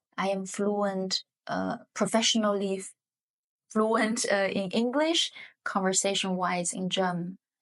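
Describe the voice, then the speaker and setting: Speaking with a Chinese accent, a woman uses a medium pitch and fairly even intonation. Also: fairly slow pace. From southern China. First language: Hakka. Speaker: economics professor. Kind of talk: podcast interview. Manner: hesitant, many fillers.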